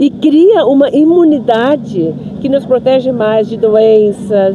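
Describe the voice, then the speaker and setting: A woman talks in a high pitch with ordinary pitch variation over noticeable background noise. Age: 60s. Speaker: spiritist speaker, interviewee. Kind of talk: street interview. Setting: outdoors in a park.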